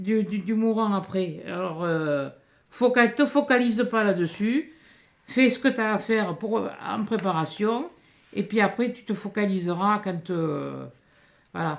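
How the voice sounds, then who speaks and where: Very slow, lively intonation from a woman at medium pitch. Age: 60s. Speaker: youtuber reading mail. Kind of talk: casual chat. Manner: halting.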